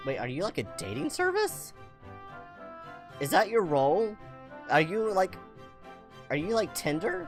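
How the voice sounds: Over faint background music, a woman speaks at a medium pitch and a fairly slow pace, with very wide pitch swings and long, frequent pauses.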